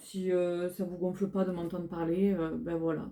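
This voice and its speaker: This woman's dark, mellow tone unfolds at a fairly slow tempo. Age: 30s. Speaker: beauty vlogger. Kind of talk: casual haul video talk. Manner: hesitant, many fillers.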